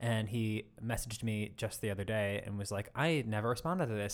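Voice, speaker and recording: On a very clean recording with a silent background, a man with an American accent and an unremarkable speaking voice talks at a fairly quick pace, his fairly low pitch showing ordinary variation. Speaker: podcast co-host. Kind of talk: casual chat. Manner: laughs often.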